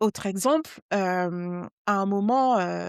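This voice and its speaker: In a Parisian accent, a woman speaks at medium pitch with ordinary pitch variation, in a dry, close, very clean recording with no echo and a silent background. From Brittany, Guadeloupe and West Africa (mixed childhood). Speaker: journalist and novelist. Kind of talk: interview conversation. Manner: many hesitations (heu, hem); slightly struggles with some words.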